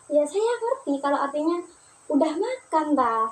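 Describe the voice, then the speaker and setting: A woman talks at a moderate pace. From Probolinggo, East Java, Indonesia. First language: Madurese (speaking Indonesian). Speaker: university student. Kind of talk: personal storytelling for class assignment. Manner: casual, conversational.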